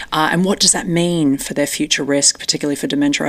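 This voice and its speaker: Over noticeable background noise, a woman with an Australian accent talks at a very fast pace in a very deep, low pitch. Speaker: neuroscience researcher. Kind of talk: interview.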